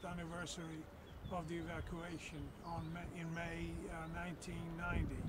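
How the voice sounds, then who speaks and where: Noticeable noise behind a man talking at a fairly slow speed. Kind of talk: personal storytelling to camera. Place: waterside.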